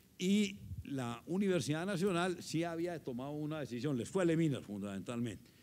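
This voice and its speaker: Over light background noise, a man talks at a fairly slow pace with very wide pitch swings. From Antioquia, Colombia. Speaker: former minister and executive; former minister. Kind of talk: panel discussion. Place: hall. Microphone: handheld.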